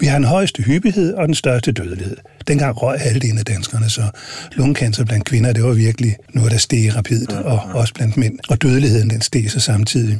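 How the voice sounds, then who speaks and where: Noticeable background noise under a man's medium pitch, moderate pace, very even loudness and ordinary pitch variation. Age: 60s. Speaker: senior hospital physician. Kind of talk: interview. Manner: hesitant with many fillers.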